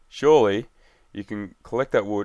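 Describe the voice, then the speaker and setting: Speaking at a moderate pace with medium pitch and ordinary pitch variation, this man has an unremarkable speaking voice, captured in a very clean recording with a silent background. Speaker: gaming youtuber. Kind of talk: gameplay commentary. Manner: casual.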